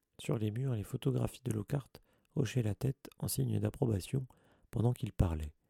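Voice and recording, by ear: Someone reads aloud in a natural voice. Their intonation rises and falls with liveliness.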